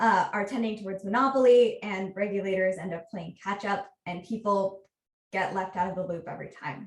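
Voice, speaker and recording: A woman with an American accent speaks at a moderate pace in a medium-pitched, somewhat breathy voice with fairly even intonation. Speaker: researcher. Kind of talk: conference talk.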